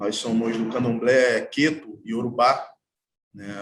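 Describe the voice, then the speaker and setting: Very slow pace with fairly even intonation. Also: man. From Brazil, Baixada Fluminense, Rio de Janeiro state. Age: 30s. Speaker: artwork installer and percussionist. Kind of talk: panel talk. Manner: halting.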